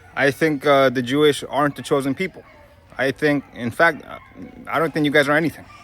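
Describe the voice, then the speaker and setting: A man's fairly high, flat monotone with an American accent at a fairly quick pace, over noticeable background noise. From Brooklyn, New York. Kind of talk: casual talk to camera.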